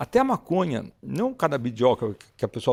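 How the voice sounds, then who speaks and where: A man's dark, mellow voice moves at a moderate pace. The sound is dry and close with no echo, in a very clean recording with a silent background. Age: 70s. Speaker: psychiatrist. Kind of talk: interview. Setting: at the interviewer's home. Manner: halting, with frequent restarts.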